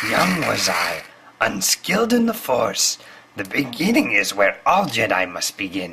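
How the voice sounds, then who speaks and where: A man puts on a cartoonish character voice, raspy in sound. He speaks at a fairly slow pace. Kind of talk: comic impression of famous film character. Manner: inverted word order, wise, patient.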